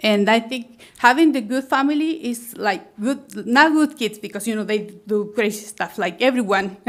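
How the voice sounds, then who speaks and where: Her pitch fairly high with ordinary variation, a woman speaks at a moderate pace with hardly any pauses. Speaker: plant nursery owner and realtor. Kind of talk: public testimony at planning meeting. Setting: public meeting room. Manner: halting, many fillers and restarts.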